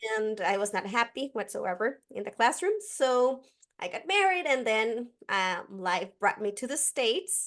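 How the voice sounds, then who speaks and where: A woman with a Costa Rican accent speaks at a fairly slow pace. Her voice moves in very wide pitch swings against a quiet background. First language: Spanish. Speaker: educator. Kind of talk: podcast interview.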